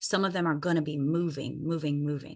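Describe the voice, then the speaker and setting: A woman speaks at a fairly low pitch against a quiet background. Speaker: wellness network marketer. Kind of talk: live stream talk. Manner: slow.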